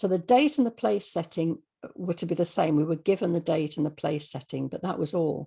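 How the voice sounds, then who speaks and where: In a very clean recording with a silent background, a woman with a fairly low pitch and a dark, mellow tone talks at a moderate pace with vocal fry. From English Midlands, Birmingham. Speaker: radio drama writer. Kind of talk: interview.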